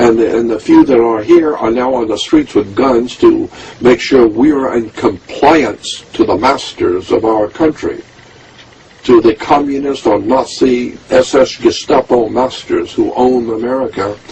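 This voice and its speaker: The man talks at a fairly slow pace. Noticeable background noise sits behind him. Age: 70s. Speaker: conspiracy researcher and author. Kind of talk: interview monologue. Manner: animated.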